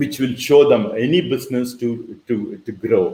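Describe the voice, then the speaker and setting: A man with lively intonation. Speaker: online business mentor. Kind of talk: webinar presentation. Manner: fast.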